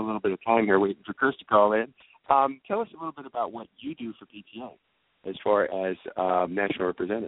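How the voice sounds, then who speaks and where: This man has an American accent and a fairly low pitch. He talks at a very fast pace. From Georgia, US South. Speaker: radio host. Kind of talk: live radio interview. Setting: convention venue. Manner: hesitant, filler-heavy.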